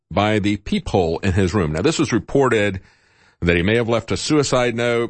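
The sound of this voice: Lively intonation in an unforced reading voice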